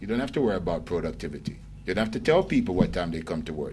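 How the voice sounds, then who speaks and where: With audible room echo around him, a man speaks at a very deep, low pitch, using very wide pitch swings and vocal fry. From Jamaica. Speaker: lecturer. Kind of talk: lecture. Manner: animated.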